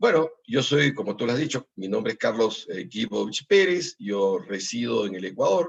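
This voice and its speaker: Speaking at a moderate pace with hardly any pauses, a man with a medium-pitched voice makes very wide pitch swings. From Peru. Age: 60s. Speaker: political candidate. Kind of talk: interview. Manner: halting.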